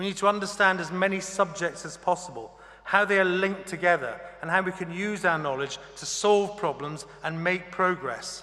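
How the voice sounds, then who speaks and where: Someone talks at a moderate pace in a raised, projected voice over noticeable background noise. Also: man, high pitch for a man, ordinary pitch variation. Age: 60s. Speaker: honorary graduate speaker. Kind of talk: graduation address. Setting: ceremony hall with audience. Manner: formal.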